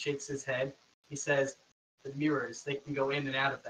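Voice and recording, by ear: Over a quiet background, the text is read aloud in a natural voice.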